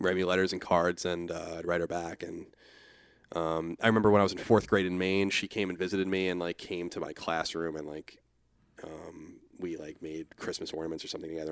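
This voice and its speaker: At a fairly quick pace, a man with a Long Island accent speaks in a very deep, low voice with monotone, flat intonation. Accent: New York (Long Island). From Long Island, New York. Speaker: podcast guest, online media personality. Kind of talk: casual chat.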